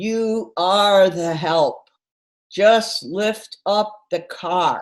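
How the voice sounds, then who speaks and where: A booming put-on character voice at fairly high pitch moves at a very slow pace with ordinary pitch variation. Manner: commanding.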